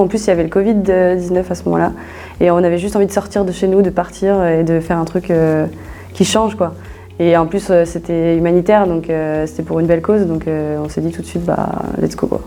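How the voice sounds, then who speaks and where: A woman's fairly low pitch at a fairly quick pace, with fairly even intonation. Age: 20s. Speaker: business school student. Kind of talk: interview. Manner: hesitant, many fillers; casual.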